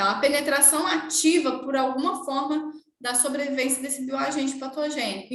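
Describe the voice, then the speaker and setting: Room echo is audible in this recording. A woman talks at a high pitch and a fairly slow pace. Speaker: nursing teacher. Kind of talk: lecture.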